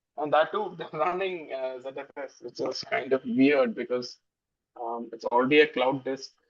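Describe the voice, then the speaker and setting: A man with a Keralan accent, fairly high pitch, ordinary pitch variation and a moderate pace. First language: Malayalam. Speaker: software developer. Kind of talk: casual chat. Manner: halting, many fillers.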